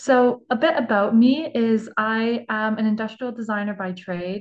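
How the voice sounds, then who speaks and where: A woman with a Canadian accent, a normal speaking voice, fairly high pitch and ordinary pitch variation. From Canada. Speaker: design student. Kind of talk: presentation.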